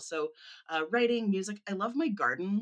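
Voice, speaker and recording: Delivered at a moderate pace, the voice has a bright, sharp tone and lively intonation. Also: woman. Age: 40s. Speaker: music education manager. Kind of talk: casual chat.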